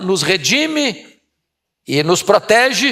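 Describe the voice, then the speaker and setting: Very wide pitch swings mark a man's delivery, which unfolds at a very slow pace. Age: 60s. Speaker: preacher. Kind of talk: sermon.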